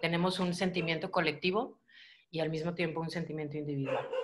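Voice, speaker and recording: A woman is speaking. Light background noise can be heard behind her. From Mexico. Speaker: channel host; host interviewer. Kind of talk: interview conversation.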